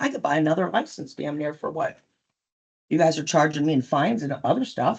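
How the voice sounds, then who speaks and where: A fairly low-pitched woman's voice, animated in tone, at a fairly quick pace. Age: 60s. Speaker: business owner at licensing hearing. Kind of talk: testimony.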